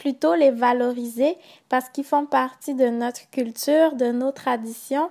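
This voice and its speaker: Over a very clean, silent background, a woman with a high pitch talks at a very slow pace with fairly even intonation. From Gabon. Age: 20s. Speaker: student. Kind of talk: interview answers in mock talk show.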